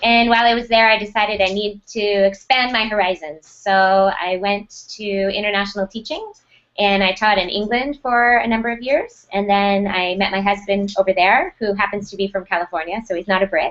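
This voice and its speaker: In an American accent, a woman talks at a moderate pace and medium pitch, with fairly even intonation and hardly any pauses. It is an ordinary speaking voice. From United States. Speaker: school technology director. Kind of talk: interview.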